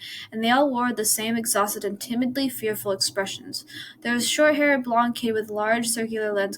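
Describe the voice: What we hear is someone plainly reading aloud.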